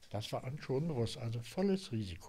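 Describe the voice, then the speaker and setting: The speaker is a man with a somewhat breathy voice. He talks at a moderate pace. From Silesia. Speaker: former East German political prisoner. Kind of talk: oral history interview answer. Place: home room. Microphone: studio mic.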